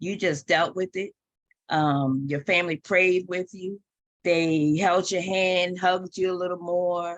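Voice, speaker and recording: Her pitch medium, a woman speaks at a fairly slow pace with ordinary pitch variation. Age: 60s. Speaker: participant sharing personal story. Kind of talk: testimony. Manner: halting, many fillers.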